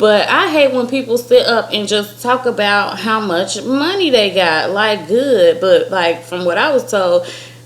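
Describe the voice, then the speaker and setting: A woman speaks at a fairly high pitch and a fairly slow pace. Background noise is noticeable. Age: 30s. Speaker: vlogger. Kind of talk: casual chat. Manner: animated.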